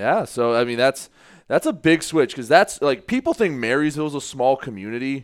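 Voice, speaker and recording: At a moderate pace, a man talks with lively intonation at a fairly high pitch. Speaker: sports podcast co-host. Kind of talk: casual sports chat. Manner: loud.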